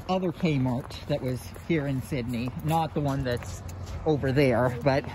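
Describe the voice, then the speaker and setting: The speech moves at a very slow pace. The sound is dry with no echo, and there is noticeable background noise. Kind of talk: casual vlog chat. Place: street. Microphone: phone near.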